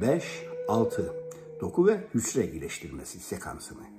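A man talks at a fairly slow pace while clear music plays behind him. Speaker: self-help guide. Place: home room. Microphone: phone near.

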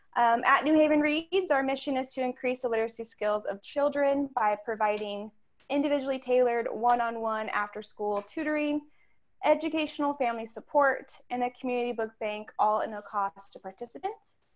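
Against a quiet background, a woman speaks with a high pitch, ordinary pitch variation and a fairly quick pace. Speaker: outreach director hosting a lecture series. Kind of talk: event hosting. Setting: video call. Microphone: video call.

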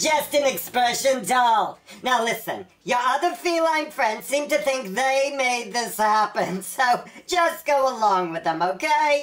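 A female-sounding, cartoonish character voice is pitched high. It moves at a fairly slow pace. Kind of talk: comedy web series dialogue. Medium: puppet. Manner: smooth, schmoozing, showbiz-agent flattery.

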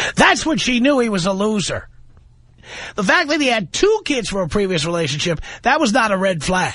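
Big pitch swings mark this man's high, bright, sharp voice as he talks at a moderate pace.

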